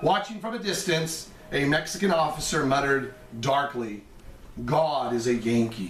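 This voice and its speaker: With lively intonation and a moderate pace, a man's speech carries audible room echo over noticeable background noise. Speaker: history teacher. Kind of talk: lecture. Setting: recorded over slide presentation.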